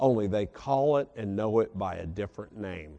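A plain, everyday voice carries lively intonation. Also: man. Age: 40s. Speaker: preacher. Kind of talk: sermon.

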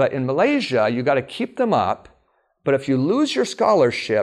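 A man with an American accent and an unremarkable speaking voice talks at a moderate pace, his fairly high pitch carried by lively intonation. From Alaska. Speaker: preacher. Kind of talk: sermon. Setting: stage with audience.

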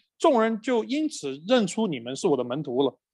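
At a moderate pace, a man talks with very wide pitch swings over a quiet background. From Chengdu, China. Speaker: pastor. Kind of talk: church workshop presentation in dialogue. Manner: hesitant with frequent fillers.

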